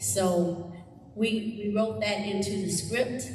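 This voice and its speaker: Fairly even intonation from a woman, with audible room echo and noticeable background noise. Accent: American. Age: 60s. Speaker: music teacher. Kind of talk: community event speech.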